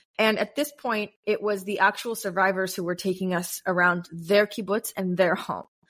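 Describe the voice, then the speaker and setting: A woman speaks in a plain, everyday voice with an American accent, at a medium pitch and with fairly even intonation. The recording is very clean, with a silent background. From US. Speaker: content creator and podcast host. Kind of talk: casual interview.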